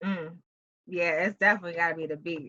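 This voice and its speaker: A bright, sharp tone in a New York accent. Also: woman. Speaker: talk show host. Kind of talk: interview. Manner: casual, enthusiastic.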